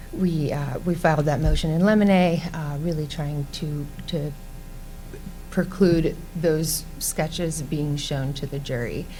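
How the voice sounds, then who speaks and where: Soft-spoken and very slow, a woman talks in a very deep, low voice with fairly even intonation, audible room echo and music in the background. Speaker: defense lawyer. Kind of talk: panel presentation. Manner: hesitant, many fillers.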